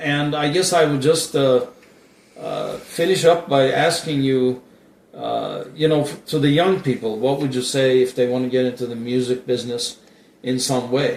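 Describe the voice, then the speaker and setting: Speech comes at a moderate pace with fairly even intonation. There is noticeable background noise. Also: man, fairly high pitch for a man. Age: 60s. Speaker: interviewer. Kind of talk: interview. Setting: at guest's house. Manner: halting.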